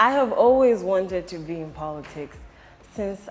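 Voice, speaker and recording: A woman delivers her words at a moderate pace as noticeable background noise continues. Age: 20s. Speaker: politician. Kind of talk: interview.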